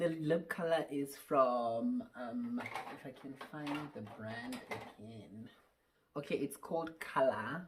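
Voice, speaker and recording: A woman speaks very slowly with a very deep, low pitch. Her loudness swings a lot while her pitch varies in an ordinary way. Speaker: beauty vlogger. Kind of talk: tutorial. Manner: casual; halting.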